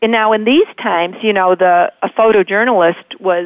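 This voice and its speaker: A woman speaks at a moderate pace with fairly even intonation. It is a plain, everyday voice. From Chicago suburbs. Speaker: novelist. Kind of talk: radio interview.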